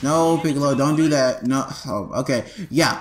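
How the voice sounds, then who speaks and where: A man speaks with music playing in the background. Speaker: gaming YouTuber. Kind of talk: game tutorial. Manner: stuttering; casual, filler-heavy.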